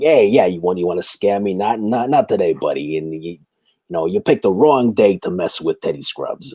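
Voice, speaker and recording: A gruff put-on character voice from a man, fairly low in pitch, fairly quick, in a New York accent. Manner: gruff, confrontational.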